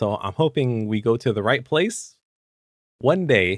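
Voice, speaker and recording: A man speaks at a moderate pace. The sound is dry and close with no echo, on a very clean recording with a silent background. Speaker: tabletop roleplaying game podcast host. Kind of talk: casual chat.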